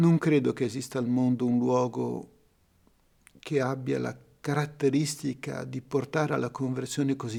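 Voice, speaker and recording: A man with a dark, mellow tone speaks at a fairly slow pace with fairly even intonation. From Italy, Genoa. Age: 60s. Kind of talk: testimony.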